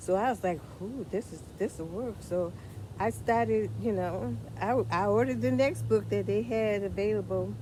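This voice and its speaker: Her voice has a dark, mellow tone, fairly low pitch for a woman, vocal fry and very wide pitch swings, and she talks at a moderate pace. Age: 60s. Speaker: vlogger sharing health journey. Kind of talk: personal testimony. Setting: outdoors in a friend's backyard. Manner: halting, repeats words.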